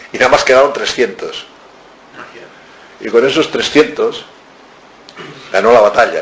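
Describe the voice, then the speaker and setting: A man talks at a moderate pace while noticeable noise plays in the background. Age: 70s. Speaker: author. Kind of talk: book talk. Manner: animated.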